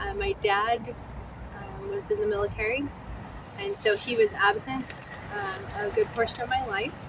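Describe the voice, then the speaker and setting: Over noticeable background noise, a woman with a West Coast US accent speaks at a moderate pace in a high pitch, with very wide pitch swings and long, frequent pauses. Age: 40s. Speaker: person in addiction recovery telling her story. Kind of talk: personal testimony interview. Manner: frequent fillers, halting.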